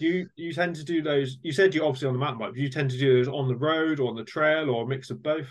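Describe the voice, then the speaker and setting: A man with a British accent, fairly high in pitch, very fast, with hardly any pauses and fairly even intonation. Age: 30s. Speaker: podcast host, amateur mountain biker. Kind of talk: casual interview.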